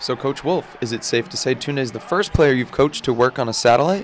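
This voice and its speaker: Here a man speaks at a very fast pace. His voice has a medium pitch. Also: ordinary pitch variation. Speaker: sports broadcaster, anchor and reporter. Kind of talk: TV sports news reporting.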